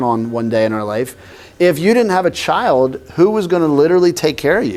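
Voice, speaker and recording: A man with an American accent speaks in an animated tone at a fairly quick pace. His fairly high pitch swings very widely. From northern US. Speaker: pastor. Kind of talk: sermon. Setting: church class with audience. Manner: conversational, animated.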